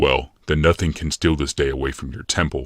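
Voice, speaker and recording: A put-on character voice growls at a fairly quick pace with fairly even intonation. The sound is dry and close, with no echo. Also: man. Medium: read story. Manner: carefree, reassuring.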